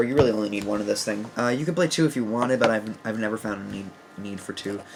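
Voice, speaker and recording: Against noticeable background noise, a man speaks at a very fast pace with medium pitch and ordinary pitch variation. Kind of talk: casual talk to camera, deck profile. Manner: hesitant, many fillers.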